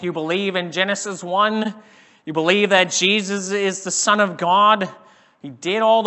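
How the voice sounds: Fairly even intonation in a natural reading voice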